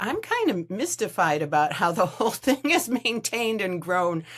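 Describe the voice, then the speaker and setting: A woman's speech, moderate in pace, is accompanied by noticeable background noise. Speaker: writing coach. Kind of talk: interview. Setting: video call. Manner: halting.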